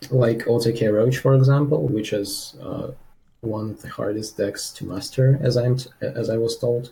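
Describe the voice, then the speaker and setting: With a non-native accent, a voice comes through noticeable background noise. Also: man, medium pitch for a man, ordinary pitch variation, moderate pace. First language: not English. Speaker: student player. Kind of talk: coaching session. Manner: halting.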